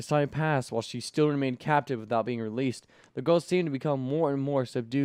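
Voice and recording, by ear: A person reads aloud, using a natural voice.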